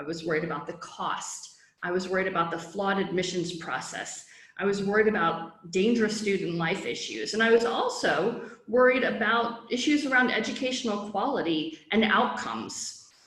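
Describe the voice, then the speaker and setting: With an American accent, a woman speaks at a medium pitch with lively intonation, amid audible room echo and noticeable background noise. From US Midwest, Chicago. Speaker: founder of a study-abroad resource. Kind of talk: presentation. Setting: online virtual summit. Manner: fast.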